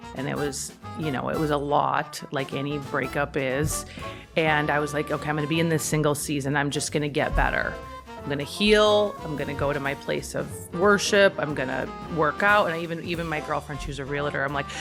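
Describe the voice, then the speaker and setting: Music in the background behind a woman with a Midwestern American accent, very deep and low-pitched, fairly quick, with ordinary pitch variation. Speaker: motivational speaker. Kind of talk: casual interview answer. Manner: chatty.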